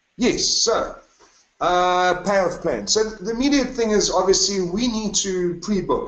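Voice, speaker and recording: A man is speaking in a room with audible echo. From South Africa, KwaZulu-Natal (Newcastle); KwaZulu-Natal, South Africa. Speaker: retreat leader. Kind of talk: webinar sales presentation. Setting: online webinar from home. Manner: animated. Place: home room. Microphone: webcam.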